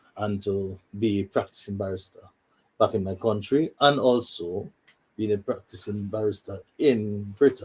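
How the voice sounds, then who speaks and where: Speaking at a fairly slow pace, a man with a fairly low voice sounds somewhat breathy, and his intonation stays fairly even. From Saint Lucia. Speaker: law student. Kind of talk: interview. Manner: repetitive, halting.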